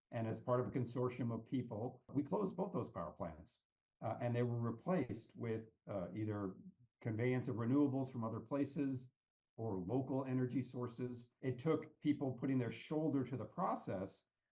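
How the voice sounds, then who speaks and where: With an American accent, a man speaks at a medium pitch and a moderate pace. His tone is dark, mellow and somewhat breathy, with ordinary pitch variation. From US West Coast, Palo Alto California. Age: 60s. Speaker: economics and policy consultant. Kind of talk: podcast interview. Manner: halting, many repetitions.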